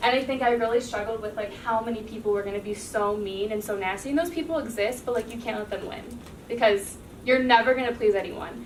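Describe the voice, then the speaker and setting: A woman at a very fast pace, with audible room echo and noticeable background noise. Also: fairly high pitch for a woman, ordinary pitch variation. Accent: American. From US Midwest, Cincinnati, Ohio. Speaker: TV news anchor. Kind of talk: classroom talk. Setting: classroom. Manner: casual, filler-heavy.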